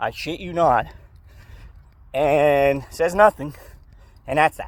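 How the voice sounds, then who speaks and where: A man talks with vocal fry at a fairly high pitch. The sound is dry and close, with no echo. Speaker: stock market youtuber. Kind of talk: casual vlog. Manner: casual, swearing-laced.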